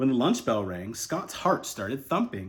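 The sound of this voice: The speaker reads in an unforced voice.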